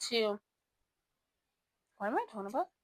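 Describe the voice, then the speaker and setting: The sound is dry and close with no echo as a woman speaks at a medium pitch with ordinary pitch variation. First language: not English. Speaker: book reviewer. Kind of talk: casual book review vlog. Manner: halting, self-correcting; animated.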